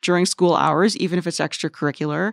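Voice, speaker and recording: An unremarkable speaking voice moves at a fairly quick pace in a dry, close sound with no echo, on a very clean recording with a silent background. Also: woman. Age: 40s. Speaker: education reporter. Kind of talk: casual chat. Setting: studio.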